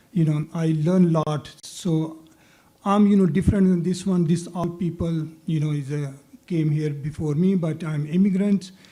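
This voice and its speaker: With a non-native accent, a man speaks at a high pitch in a dark, mellow tone with fairly even intonation. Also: moderate pace. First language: not English. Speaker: city council candidate. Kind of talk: candidate forum answer.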